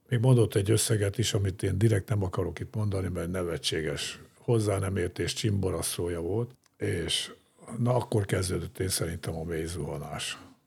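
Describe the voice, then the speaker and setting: Very deep and low in pitch, a man speaks at a moderate pace with ordinary pitch variation. His voice is somewhat breathy. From Hungary, grew up in Ózd. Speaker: former sports club president and steelworks executive. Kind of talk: interview conversation. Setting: studio.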